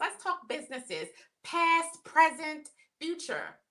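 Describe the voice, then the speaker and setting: In an American accent, a woman projects a raised voice at an extremely high pitch, speaking at a fairly slow pace. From Maryland. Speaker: podcast co-host. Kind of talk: casual chat.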